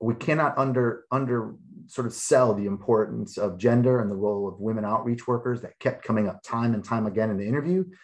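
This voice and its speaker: Here a man with an American accent uses an ordinary speaking voice at a medium pitch with ordinary pitch variation. He goes fairly quickly with hardly any pauses against a quiet background. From Chicago. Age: 40s. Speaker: sociology professor. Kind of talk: webinar panel discussion.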